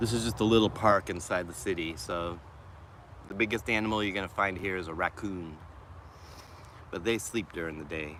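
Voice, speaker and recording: Despite long, frequent pauses, a man with a very deep, low voice keeps a fairly quick pace and ordinary pitch variation. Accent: American. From Boston, Massachusetts. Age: 50s. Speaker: mental health vlogger and musician. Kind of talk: casual livestream chat. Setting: outdoors in a city park.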